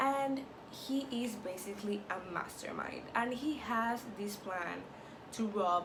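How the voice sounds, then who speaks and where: With a Spanish accent, a woman speaks very slowly in a fairly high pitch with ordinary pitch variation. Room echo is audible, and background noise is noticeable. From Latin America. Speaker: YouTuber. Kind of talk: TV show review vlog. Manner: casual, filler-heavy.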